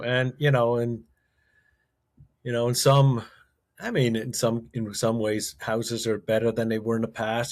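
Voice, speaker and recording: At a moderate pace and medium pitch, a man speaks with fairly even intonation on a very clean recording with a silent background. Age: 60s. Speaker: investor and author. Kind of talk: interview conversation. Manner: halting, with frequent repetitions.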